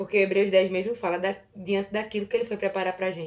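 An ordinary speaking voice from a woman, medium in pitch. She speaks at a moderate pace. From Recife, northeastern Brazil. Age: 20s. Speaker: Bible content creator on Instagram. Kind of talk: casual Bible study discussion.

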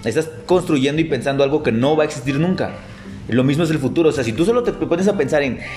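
Music plays behind a man who speaks very fast at a fairly high pitch with ordinary pitch variation. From Tapachula, Chiapas, southern Mexico. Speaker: podcast co-host. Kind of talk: casual chat.

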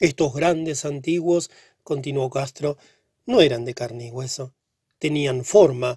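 Somewhat breathy and solemn, a man speaks at a fairly slow pace with a fairly high pitch, ordinary pitch variation, and a dark, mellow tone, the sound dry and close with no echo. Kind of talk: literary audiobook reading. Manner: slow, measured, solemn narration with an ominous, hushed gravity; formal, even-paced and steady, building dread on each long sentence.

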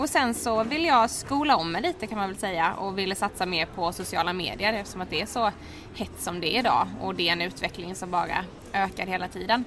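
A woman speaks at medium pitch with lively intonation and a fairly quick pace. Noticeable background noise sits behind her. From Sweden, Halmstad. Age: 20s. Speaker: hair styling influencer and student. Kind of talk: interview. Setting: café.

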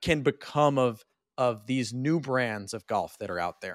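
A man speaks in an ordinary speaking voice at a medium pitch. His intonation is lively and his pace fairly slow. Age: 30s. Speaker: golf podcast host and broadcaster. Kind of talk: casual chat. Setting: remote recording.

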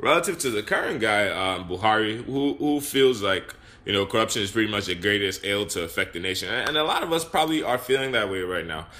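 Over noticeable background noise, a man talks at a very fast pace with hardly any pauses. His pitch is fairly low and his intonation lively. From Nigeria. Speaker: podcast host. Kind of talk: casual discussion. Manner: hesitant, many fillers.

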